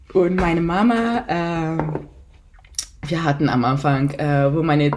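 A woman's very deep, low voice with ordinary pitch variation, audible room echo and noticeable background noise. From Italy. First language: Italian (speaking German). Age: 30s. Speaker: mother of two. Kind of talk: podcast interview. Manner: hesitant, many fillers.

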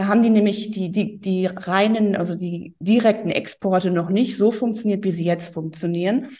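A woman's somewhat breathy voice at medium pitch, moderate pace and ordinary pitch variation. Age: 40s. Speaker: tax advisor. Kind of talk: interview. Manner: hesitant, many fillers.

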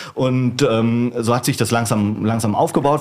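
A man speaks with a medium pitch. Noticeable background noise runs behind him. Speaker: wine bar manager. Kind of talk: casual chat.

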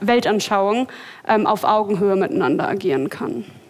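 A woman at a moderate pace and medium pitch, with noticeable background noise. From Berlin, Germany. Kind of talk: live podcast panel discussion. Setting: stage with live audience.

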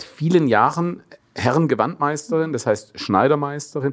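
A man with a Swabian accent speaks fairly slowly in a fairly high voice for a man. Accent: Swabian dialect slipping into speech. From Swabia, Germany. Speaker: actor and talk show host. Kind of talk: casual interview.

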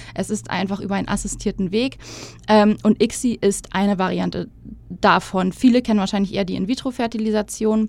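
Vocal fry runs through a woman's medium-pitched voice, and her intonation stays fairly even. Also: fairly quick pace. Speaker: podcast guest sharing her fertility treatment story. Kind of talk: casual interview.

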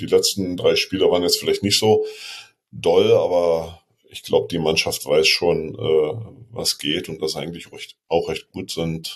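At a moderate pace, a man speaks. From Berlin. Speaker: football fan. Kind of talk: casual chat.

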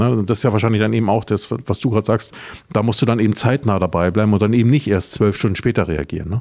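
The voice has a dark, mellow tone. It moves at a very fast pace. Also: man. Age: 50s. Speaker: podcast host, former marketing lecturer. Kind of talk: interview. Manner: hesitant fillers.

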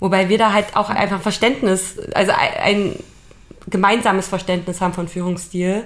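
At a moderate pace, a woman talks in an unremarkable speaking voice with a medium pitch and fairly even intonation. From Leipzig, Saxony, Germany. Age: 30s. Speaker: podcast co-host, team leader. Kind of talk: casual chat.

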